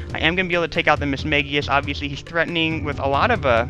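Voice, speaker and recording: A man rattles through his words very fast while music plays underneath. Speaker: gaming commentator. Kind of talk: video game commentary. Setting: headset microphone with static. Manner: casual, conversational.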